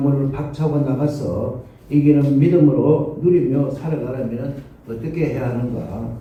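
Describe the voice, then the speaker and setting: A man's fairly high voice at a fairly slow pace, with audible room echo. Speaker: pastor. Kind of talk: sermon.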